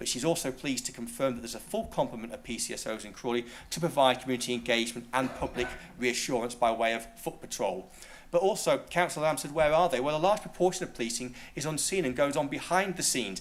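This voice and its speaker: With lively intonation and a medium pitch, a man talks at a very fast pace while the room echo is audible. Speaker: local councillor. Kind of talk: council debate speech.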